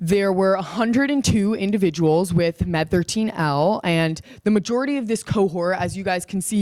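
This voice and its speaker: A woman talks at a fairly quick pace. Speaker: student researcher presenting. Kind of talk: conference presentation. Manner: loud; casual, filler-heavy.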